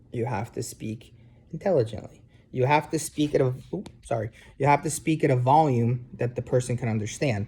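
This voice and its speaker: In an American accent, a man of medium pitch speaks at a moderate pace with ordinary pitch variation. His tone is dark and mellow, and somewhat breathy. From New Jersey, US. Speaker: university instructor. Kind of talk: casual lecture to students. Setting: sitting on couch at home, video. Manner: hesitant, many fillers.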